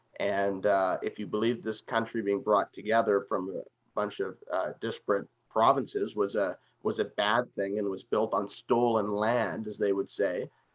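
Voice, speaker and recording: A man with a plain, everyday voice speaks in a Canadian accent. His pitch is fairly low and his pace moderate. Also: fairly even intonation. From Canada. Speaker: political commentator. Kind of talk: interview discussion.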